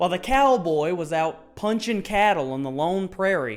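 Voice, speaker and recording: With a Southern US accent, a man talks at a moderate pace. His high voice swings very widely in pitch. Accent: Southern American. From US South. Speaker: history YouTuber. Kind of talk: scripted narration.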